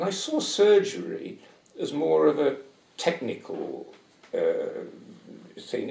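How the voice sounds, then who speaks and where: A man with a southern English accent speaks amid audible room echo. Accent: English, educated southern British. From England, Nottingham. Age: 70s. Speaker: retired paediatric anaesthetist. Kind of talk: interview. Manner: halting, with repetitions.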